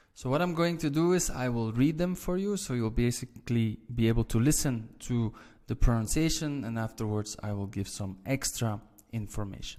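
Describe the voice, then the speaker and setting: In a very clean recording with a silent background, a man speaks at a medium pitch in a Flemish accent. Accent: Flemish Dutch. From Belgium (Flanders). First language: Dutch (Flemish). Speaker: language teacher. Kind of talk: tutorial.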